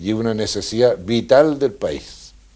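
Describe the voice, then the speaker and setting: A man with a Chilean accent speaks at a medium pitch. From Chile, countryside near Valdivia. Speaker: former politician. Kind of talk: interview.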